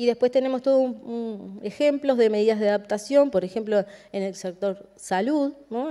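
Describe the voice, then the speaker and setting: This voice has a dark, mellow tone and a Uruguayan accent. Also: woman. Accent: Rioplatense Spanish (Uruguayan). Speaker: government climate policy specialist. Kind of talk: conference presentation. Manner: hesitant, many fillers.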